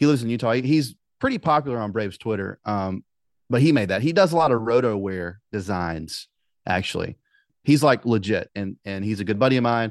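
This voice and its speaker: Speaking with a Southern US accent at a fairly quick pace, the voice has lively intonation and a dry, close sound with no echo against a quiet background. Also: man, medium pitch for a man. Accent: Southern US (Georgia). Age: 30s. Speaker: podcast host. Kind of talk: casual chat. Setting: video call.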